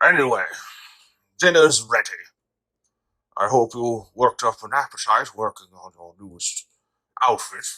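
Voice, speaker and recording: Using a put-on character voice, a man speaks at medium pitch and a moderate pace, with long, frequent pauses. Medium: audio drama. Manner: polite, warm.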